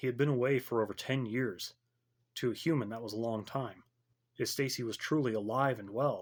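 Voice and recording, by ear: The background stays quiet. Over it comes reading aloud in a natural voice.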